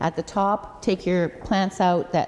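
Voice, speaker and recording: Noticeable background noise sits behind the speech. A woman talks at a medium pitch. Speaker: community food program worker. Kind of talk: lecture.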